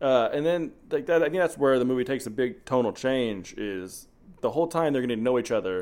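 A man's medium-pitched voice, an ordinary speaking voice, with lively intonation and a moderate pace. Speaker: movie podcast host. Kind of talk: casual chat, movie review. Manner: joking, casual.

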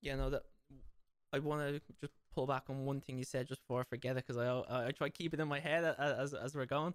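In an Irish accent, a man talks at a very fast pace in a fairly high voice with monotone, flat intonation and a dry, close sound with no echo. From Ireland. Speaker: podcast host and fitness trainer. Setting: video call across time zones.

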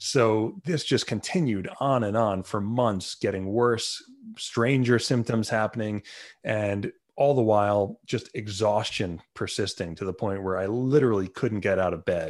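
Speaking in a New York accent, a man uses a fairly low pitch with ordinary pitch variation. He talks at a fairly slow pace against a quiet background. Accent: New York American. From Long Island, New York. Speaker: neuroplasticity coach. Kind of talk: interview.

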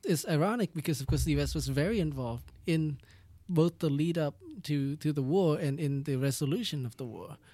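A man with a Vietnamese accent, fairly high in pitch, with ordinary pitch variation. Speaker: doctoral researcher. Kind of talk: interview. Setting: studio.

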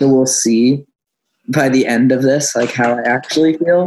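At a moderate pace, a man with medium pitch and fairly even intonation talks in a plain, everyday voice. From Nova Scotia, Canada. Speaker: singer-songwriter. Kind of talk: casual chat.

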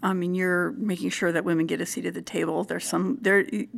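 Recorded very cleanly over a silent background, a woman talks at a medium pitch with vocal fry. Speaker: podcast host. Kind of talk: interview conversation.

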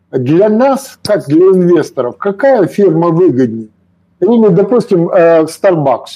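Lively intonation carries this very slow delivery, with music playing in the background. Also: man. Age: 70s. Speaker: retired investor and author. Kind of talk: casual chat.

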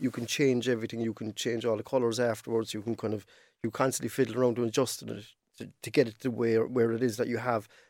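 In a very clean recording with a silent background, a man speaks with a Cork accent at medium pitch. His tone is dark and mellow, and his intonation is monotone and flat. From Cork, Ireland. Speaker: digital artist. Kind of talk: casual chat.

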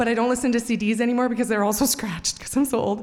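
Fairly high in pitch, a woman talks with fairly even intonation over noticeable background noise. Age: 40s. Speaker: storyteller. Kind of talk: live storytelling. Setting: stage with audience. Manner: halting.

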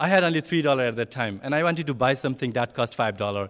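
Fairly high-pitched male voice with a Nepali accent and lively intonation. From southern Bhutan, Nepali-speaking community. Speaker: refugee, ESL teacher. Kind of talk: personal testimony to an audience. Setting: speaking in front of a live audience. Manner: halting, hesitant non-native speech.

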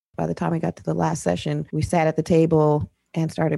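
A woman speaks at a moderate pace with lively intonation and vocal fry, recorded in a dry, close sound with no echo. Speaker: midwife. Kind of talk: interview testimony.

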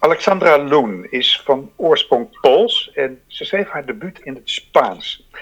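A man talks at a fairly slow pace in a Dutch accent. He leaves hardly any pauses, and his loudness swings widely. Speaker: podcast host. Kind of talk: interview; scripted introduction. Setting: home recording, attic or cellar. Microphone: poor sound quality.

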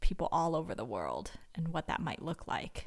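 A woman with a Californian accent on a very clean recording with a silent background. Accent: General American (California). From Northern California. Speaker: missionary. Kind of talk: interview testimony.

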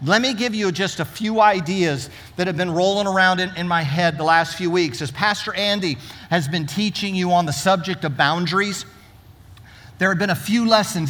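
With audible room echo around him, a man talks in a bright, sharp tone at a high pitch. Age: 60s. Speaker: pastor. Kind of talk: sermon. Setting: church.

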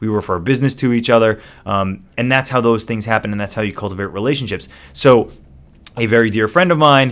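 With ordinary pitch variation, a man's voice comes across as an ordinary speaking voice. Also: very clean recording, silent background. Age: 40s. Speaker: podcast co-host and entrepreneur. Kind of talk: casual chat.

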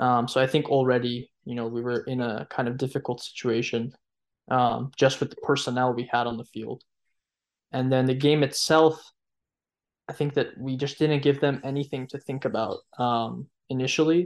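A man talks with an unremarkable speaking voice at a medium pitch. His intonation is fairly even, his pace is moderate, and the background is quiet. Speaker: football analyst. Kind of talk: podcast panel discussion.

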